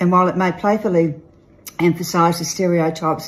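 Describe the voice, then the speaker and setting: Somewhat breathy, a woman speaks in a fairly low pitch. Her pace is fairly quick. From Australia. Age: old. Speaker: real estate agent and auctioneer. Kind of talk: casual talk to camera, promotional message. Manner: playful, upbeat. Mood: playful, tongue-in-cheek. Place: home room. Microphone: phone near.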